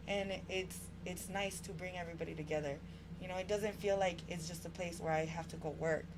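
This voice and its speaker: With an American accent, the speaker talks at a fairly quick pace amid noticeable background noise and audible room echo. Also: woman. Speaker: barbershop owner and community organizer. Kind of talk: podcast interview. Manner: animated.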